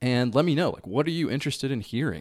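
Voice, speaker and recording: The man speaks with ordinary pitch variation. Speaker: podcast host. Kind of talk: solo podcast monologue. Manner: reflective, conversational.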